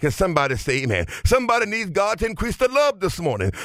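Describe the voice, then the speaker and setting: With music in the background, a man talks at a very fast pace. His tone is animated and his pitch swings very widely. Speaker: preacher. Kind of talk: sermon. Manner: animated, call-and-response; rhythmic, exhorting congregation.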